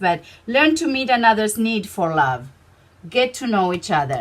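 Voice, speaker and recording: A woman speaks with a non-native accent. Her pace is moderate and her intonation lively. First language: Spanish. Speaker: tarot reader. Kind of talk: tarot reading to camera. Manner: halting, with many fillers.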